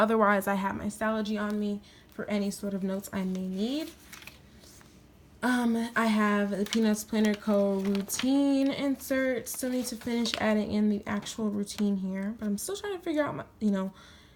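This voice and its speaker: Woman with an unremarkable speaking voice, fairly high pitch, ordinary pitch variation and a moderate pace. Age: 20s. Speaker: planner YouTuber. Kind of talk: tutorial. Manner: casual.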